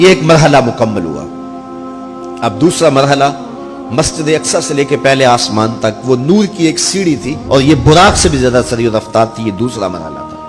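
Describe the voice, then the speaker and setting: There is music in the background as a man talks at a medium pitch. His voice makes very wide pitch swings. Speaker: Islamic scholar giving a religious sermon. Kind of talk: religious sermon (bayan) on the Miraj. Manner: passionate, emphatic preaching delivery.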